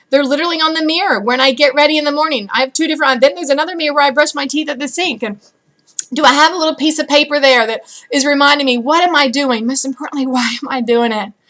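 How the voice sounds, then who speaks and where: This woman talks at a very fast pace in an animated tone. Her voice sits high, with ordinary pitch variation. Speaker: sales director for a cosmetics direct-sales team. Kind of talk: motivational video message to team.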